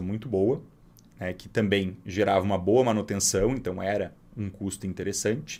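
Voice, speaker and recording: Talking at a fairly quick pace, a man has a fairly low pitch and a normal speaking voice. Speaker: financial advisor. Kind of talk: storytelling monologue. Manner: casual.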